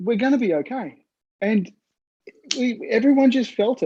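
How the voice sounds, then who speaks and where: In an Australian accent, a man speaks at an extremely high pitch with lively intonation. His tone is dark and mellow. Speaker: sports fan. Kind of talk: interview.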